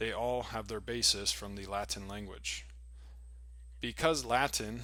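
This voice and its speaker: In an American accent, a man speaks at a moderate pace with vocal fry and a bright, sharp tone. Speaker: English teacher. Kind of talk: reading aloud.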